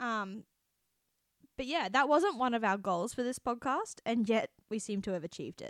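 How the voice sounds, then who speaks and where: Speaking with an Australian accent, a woman uses a fairly high pitch and lively intonation at a moderate pace, in a very clean recording with a silent background and a dry, close sound with no echo. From Australia, city. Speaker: podcast host. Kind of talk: casual chat.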